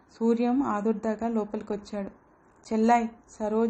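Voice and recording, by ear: A natural voice, reading aloud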